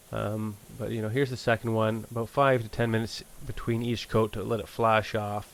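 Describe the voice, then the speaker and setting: Speaking fairly quickly, a man uses a flat monotone at medium pitch. He talks with a Canadian accent. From Canada. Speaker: auto body painter. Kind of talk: tutorial; casual chat. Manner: casual, filler-heavy.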